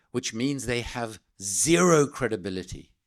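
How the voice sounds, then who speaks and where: A man with a South African accent speaks in a passionate tone, his pitch swinging very widely. The recording is very clean, with a silent background. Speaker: political speaker, anti-arms-trade campaigner. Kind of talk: speech to an audience. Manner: passionate, emphatic.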